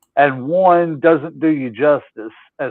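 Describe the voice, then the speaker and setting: The speaker is a man. His pitch sits fairly high. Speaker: podcast guest. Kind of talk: casual chat. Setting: studio. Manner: loud.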